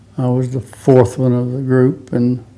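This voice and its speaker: A man in an American accent speaks at a medium pitch and a fairly slow pace. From Texas Panhandle (Pampa). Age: 80s+. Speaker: rodeo hall of fame inductee, former rodeo cowboy. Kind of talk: oral history interview.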